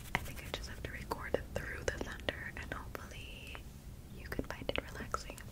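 A woman whispers at a fairly quick pace. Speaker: ASMR creator. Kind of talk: casual talk to camera. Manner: soft-spoken. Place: home room. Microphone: studio mic.

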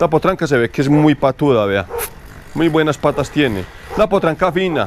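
With lively intonation, a man speaks at a fairly slow pace over light background noise. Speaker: horse trainer. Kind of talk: outdoor training tutorial. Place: farm machine.

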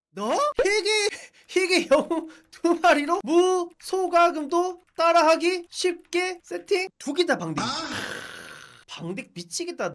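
A man in an excited tone. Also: big swings in loudness. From Korea, provincial region. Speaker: game streamer. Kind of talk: casual game commentary. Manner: excited, casual.

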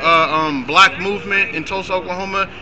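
Over noticeable background noise, a man with a New York accent uses a raised, projected voice at a high pitch. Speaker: protest participant. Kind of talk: street debate. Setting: outdoors. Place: street. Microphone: camera far.

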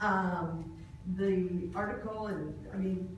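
A woman speaks at a slow pace with fairly even intonation. Clear background noise and audible room echo can be heard.

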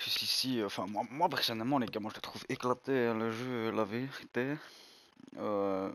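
Medium-pitched male speech at a moderate pace with ordinary pitch variation, on a very clean recording with a silent background. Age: 20s. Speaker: gaming youtuber. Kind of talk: gameplay commentary video. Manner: hesitant, filler-heavy.

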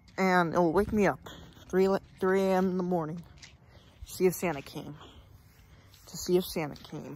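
Against light background noise, a woman talks at a moderate pace with fairly even intonation. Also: dry sound with no echo. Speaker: vlogger. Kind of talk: casual vlog chat. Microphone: phone near.

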